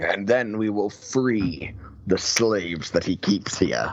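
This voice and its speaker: A man's put-on character voice, fairly low in pitch and delivered at a fairly slow pace. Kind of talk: archaic heroic speech. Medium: actual play. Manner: grave, formal.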